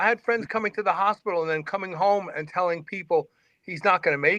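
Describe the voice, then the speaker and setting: A man talks very fast in a raised, projected voice with high pitch. His tone is bright and sharp, and the sound is dry and close, with no echo. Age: 60s. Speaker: fitness radio host and former lifter. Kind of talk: casual interview chat. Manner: repetitive stammering starts.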